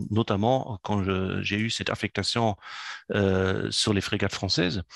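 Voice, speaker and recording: In a German accent, a man with a fairly low pitch speaks at a fairly slow pace, the sound dry and close with no echo. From German, raised in Africa. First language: German (speaking French). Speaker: entrepreneur and business consultant. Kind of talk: interview. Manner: hesitant, many fillers.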